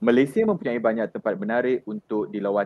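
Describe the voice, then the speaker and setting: This man has an unremarkable speaking voice, pitched in the medium range with ordinary pitch variation. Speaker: Malay language teacher. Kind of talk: tutorial, exam tips. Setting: video call from home.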